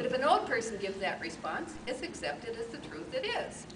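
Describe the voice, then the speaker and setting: Over noticeable background noise and audible room echo, a woman speaks at a fairly quick pace with very wide pitch swings. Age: 70s. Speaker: Toastmasters contest speaker. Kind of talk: humorous speech.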